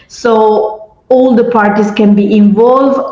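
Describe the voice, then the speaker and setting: With music in the background and audible room echo, a woman at a medium pitch talks at a fairly slow pace with fairly even intonation. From Italy. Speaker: education and peace-building expert. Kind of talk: panel discussion.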